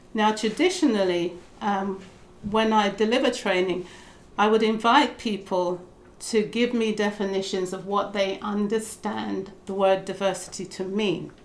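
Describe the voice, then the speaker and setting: A woman with a British accent speaks at medium pitch and a fairly slow pace. Her intonation is fairly even, and room echo is audible. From Britain. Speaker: diversity trainer and consultant. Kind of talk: talk to a group. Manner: soft-spoken. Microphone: too quiet.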